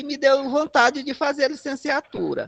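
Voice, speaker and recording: The sound is close and dry, without any echo. A man is the one talking. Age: 60s. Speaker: community health worker. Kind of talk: casual chat. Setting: video call.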